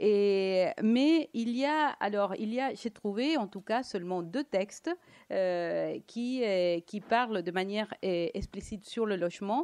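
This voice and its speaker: A woman with a Latin American accent speaks at a medium pitch and a very slow pace. Her intonation is lively, and the background is quiet. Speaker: economist and lecturer; lecturer. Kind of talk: lecture. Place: hall. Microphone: handheld.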